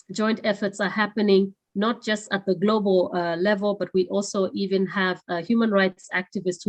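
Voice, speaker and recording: A woman with a non-native accent speaks at a medium pitch and moderate pace, her intonation fairly even, in a dry, close sound with no echo and a quiet background. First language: not English. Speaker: webinar moderator. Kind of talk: closing remarks of a webinar. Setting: online webinar. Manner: halting, many fillers.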